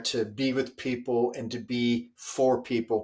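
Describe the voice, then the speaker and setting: Intonation stays monotone and flat as a man talks. He goes at a very slow pace. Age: 60s. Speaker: leadership author and speaker. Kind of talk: interview.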